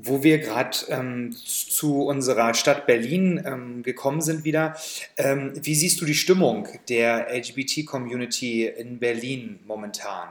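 A man at very slow pace, medium pitch and ordinary pitch variation. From Saxony, Germany. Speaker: podcast co-host. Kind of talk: casual chat; interview.

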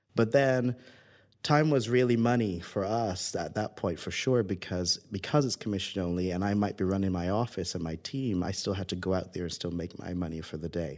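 Speaking at a fairly quick pace, a man with a Barbadian accent has a very deep, low pitch. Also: ordinary pitch variation. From Barbados. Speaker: tech founder and former pilot. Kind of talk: interview.

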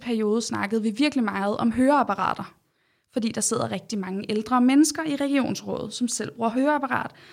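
Here a woman talks at a moderate pace. Her voice is fairly high, with ordinary pitch variation. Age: 20s. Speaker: doctor and regional councillor. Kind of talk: interview. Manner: hesitant, with many fillers.

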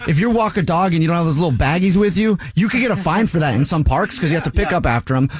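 Over noticeable background noise, a man talks at a very fast pace with hardly any pauses, his high pitch carrying lively intonation and an animated tone at very even loudness. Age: 50s. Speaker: radio host. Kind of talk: casual chat.

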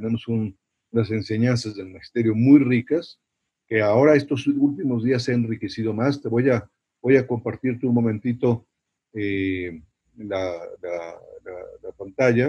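Somewhat breathy, a man talks at a fairly slow pace and medium pitch with ordinary pitch variation and long, frequent pauses. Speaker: priest and university chaplain. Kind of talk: interview talk on evangelization.

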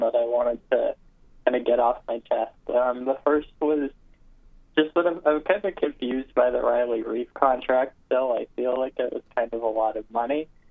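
This man has an ordinary speaking voice, fairly high in pitch, and talks at a moderate pace. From Toronto, Canada. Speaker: caller. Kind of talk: casual sports call-in. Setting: phone call.

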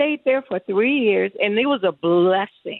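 A woman with an American accent and a normal speaking voice, at a fairly slow pace. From US Midwest. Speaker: chef. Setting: phone call.

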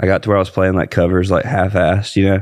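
A fairly low-pitched man's voice in a Southern US accent against a quiet background. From Georgia, US South. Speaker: country singer, air force veteran. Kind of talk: casual chat.

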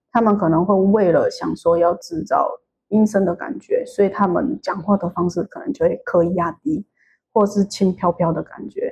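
Somewhat breathy, a woman with a Taiwanese accent speaks at medium pitch and a moderate pace with lively intonation. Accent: Taiwanese Mandarin. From Taiwan, Tainan. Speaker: podcast listener. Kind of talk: interview. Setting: hotel room.

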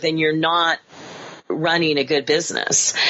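Against noticeable background noise, a woman with an American accent speaks at a moderate pace in a very deep, low pitch. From US Midwest, Kansas. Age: 50s. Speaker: actress and acting career coach. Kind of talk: podcast interview.

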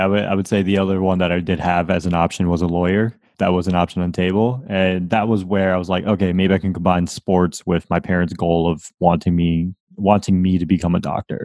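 A man's very deep, low voice in an American accent at a very fast pace, monotone and flat with hardly any pauses, on a very clean recording with a silent background. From Windsor, Connecticut, US. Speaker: career advice podcaster. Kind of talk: interview.

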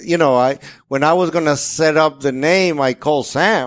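Here a man with a Spanish accent speaks at a fairly high pitch. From Dominican Republic. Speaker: master printer. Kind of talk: casual interview.

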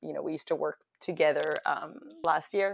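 Rather quickly, a woman talks in an American accent. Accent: American-sounding. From France, then London. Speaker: hospitality entrepreneur. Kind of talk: interview. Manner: halting, many repeated words.

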